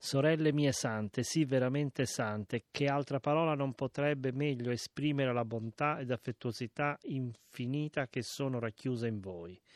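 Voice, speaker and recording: Against a quiet background, a man with an ordinary speaking voice at a medium pitch talks at a moderate pace with hardly any pauses and ordinary pitch variation, the sound dry and close with no echo. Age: 60s. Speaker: reader of a historical letter. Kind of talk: reading aloud.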